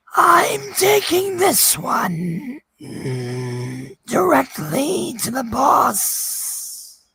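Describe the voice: The voice is a put-on character voice, pitched in the middle and delivered very slowly.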